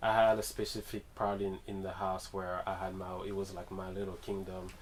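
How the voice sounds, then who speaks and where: Speaking with a Guadeloupean accent, a man talks at a moderate pace in a fairly low, flat, monotone voice. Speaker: musician, drummer. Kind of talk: radio interview.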